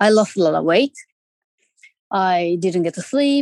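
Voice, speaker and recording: Speaking with a Japanese accent, a woman uses lively intonation at a fairly slow pace. The sound is dry and close, with no echo. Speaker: parent of an abducted child. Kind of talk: interview testimony. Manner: halting, many fillers.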